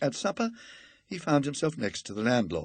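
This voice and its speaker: A man's voice with vocal fry at a moderate pace. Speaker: audiobook reader. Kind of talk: ghost story reading.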